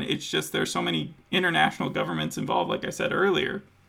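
Here a man speaks with an American accent. Noticeable background noise can be heard. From United States. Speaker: podcast host. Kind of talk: casual chat.

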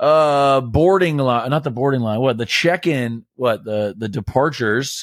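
An ordinary speaking voice from a man with an American accent, fairly high in pitch, at a fairly slow pace, on a very clean recording with a silent background. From Greece and US. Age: 30s. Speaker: podcast co-host. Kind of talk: casual chat.

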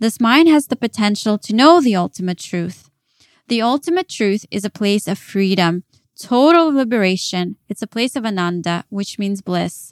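A woman with an American accent, fairly high in pitch, with lively intonation at a moderate pace. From Ukraine, then Dallas, Texas as a teenager. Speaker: yoga teacher and wellness coach. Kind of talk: solo podcast monologue with spiritual teaching.

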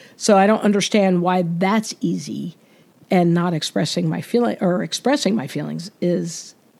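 At a moderate pace, a woman speaks with lively intonation and vocal fry in a fairly low pitch. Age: 50s. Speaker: personal trainer and podcast host. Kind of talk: personal monologue. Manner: casual, halting with fillers.

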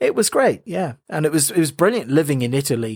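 Here a man speaks in an Irish accent. The recording is very clean, with a silent background. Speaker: radio DJ. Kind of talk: interview. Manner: animated.

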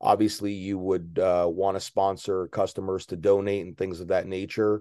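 In a very deep, low pitch, a man with an American accent speaks in a dark, mellow tone with monotone, flat intonation against a quiet background. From northern New Jersey. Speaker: pro wrestler. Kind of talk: interview.

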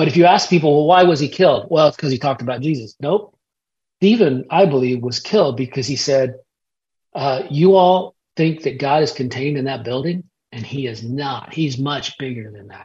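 A somewhat breathy man at a fairly high pitch and fairly quick pace, with ordinary pitch variation and big swings in loudness. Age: 50s. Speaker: pastor and author. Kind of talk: interview.

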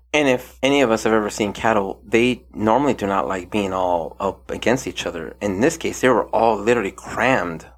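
A man speaks with a fairly low pitch and ordinary pitch variation. He has a normal speaking voice and hardly any pauses. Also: fairly quick pace. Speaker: podcast host. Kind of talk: casual podcast chat reviewing a TV docuseries.

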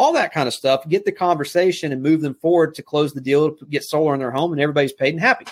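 In a Southern US accent, a man with a fairly high voice talks very fast with hardly any pauses, ordinary pitch variation and big swings in loudness, in a very clean recording with a silent background. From US South, South Alabama. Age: young. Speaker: network marketing leader. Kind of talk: interview.

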